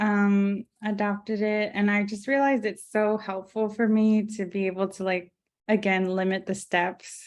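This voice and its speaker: In a quiet background, a soft-spoken woman talks at a moderate pace and medium pitch with monotone, flat intonation. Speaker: graphic designer with multiple sclerosis. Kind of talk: interview conversation. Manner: hesitant, many fillers.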